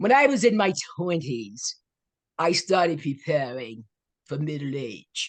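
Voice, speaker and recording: A woman with an American accent speaks at a very slow pace in a very deep, low voice, her pitch swinging very widely. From US South, Florida (Fort Pierce). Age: 80s+. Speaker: author and life coach. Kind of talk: interview. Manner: animated.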